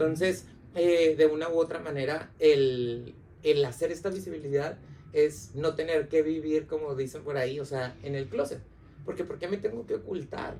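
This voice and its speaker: At a moderate pace, a man uses an unremarkable speaking voice, fairly high in pitch, with ordinary pitch variation. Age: 30s. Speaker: psychologist. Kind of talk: casual chat.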